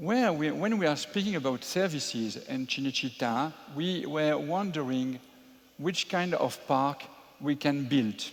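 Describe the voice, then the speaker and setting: Speaking at a fairly slow pace, a man with a French accent uses lively intonation at a fairly high pitch. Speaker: entrepreneur, theme park developer. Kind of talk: panel talk at public event. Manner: hesitant, with filler sounds.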